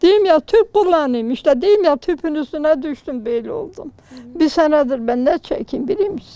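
A woman with a high voice talks fairly slowly, her pitch swinging very widely. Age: 80s+. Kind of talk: interview answer.

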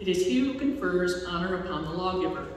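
Over light background noise and strong room echo, a woman speaks at a moderate pace in a fairly low pitch. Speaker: lay scripture reader. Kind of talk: liturgical scripture reading. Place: church. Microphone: podium.

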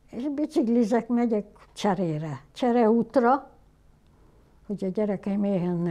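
A woman's dark, mellow tone at a moderate pace. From Hungary. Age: 80s+. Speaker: photographer. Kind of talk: documentary interview answer. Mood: somber, reflective storytelling. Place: home room.

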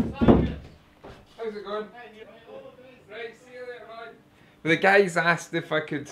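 Over noticeable background noise, a man with a Scottish accent and a high pitch speaks at a fairly slow pace in a raised, projected voice, with long, frequent pauses and big swings in loudness. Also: ordinary pitch variation. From Scotland. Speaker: furniture maker. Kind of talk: casual talk to camera.

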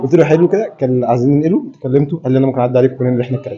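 A man speaks at a very fast pace with a dark, mellow tone, medium pitch and ordinary pitch variation.

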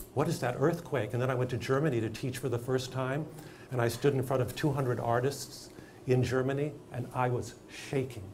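A man talks at a moderate pace with an American accent. Light background noise sits behind him. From Los Angeles, California. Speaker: acting teacher and director; acting teacher. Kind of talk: interview; discussion talk to audience. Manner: animated. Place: studio.

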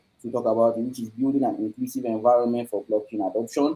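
A man with a dark, mellow tone speaks with ordinary pitch variation. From Nigeria. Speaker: host of live online blockchain talk series. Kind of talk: live online event hosting. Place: office.

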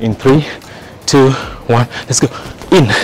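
Over faint music in the background, a man talks at a fairly slow pace with ordinary pitch variation in a dry sound with no echo. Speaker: fitness instructor. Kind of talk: workout instruction, counting reps.

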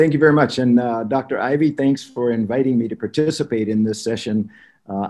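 This man's tone is dark and mellow. He talks at a fairly quick pace with ordinary pitch variation. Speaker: webinar guest. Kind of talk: opening remarks, personal anecdote. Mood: warm, smiling. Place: home room. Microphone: video call.

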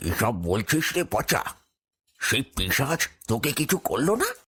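A man's cartoonish character voice at medium pitch, with very wide pitch swings, very even loudness, and a fairly slow pace.

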